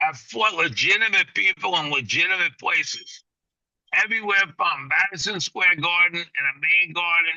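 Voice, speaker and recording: Fairly slow speech in a New York accent. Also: man. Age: 60s. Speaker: boxing trainer. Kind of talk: casual interview. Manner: animated.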